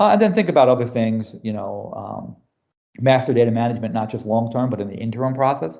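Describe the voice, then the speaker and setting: Speaking at a very fast pace in an American accent, the voice shows big swings in loudness and ordinary pitch variation. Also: man, medium pitch for a man. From US Northeast, New York City. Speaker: business technology executive. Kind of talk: podcast interview. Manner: casual, filler-heavy.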